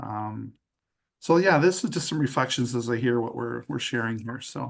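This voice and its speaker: A man with a Canadian accent and vocal fry. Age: 70s. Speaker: retired pastor and hospice spiritual caregiver. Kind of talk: group sharing in online circle. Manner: hesitant, many fillers.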